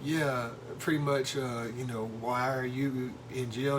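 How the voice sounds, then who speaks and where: A man speaks in a flat monotone, with audible room echo and noticeable background noise. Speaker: husband telling a story on wife's channel. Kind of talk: casual storytelling. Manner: loud.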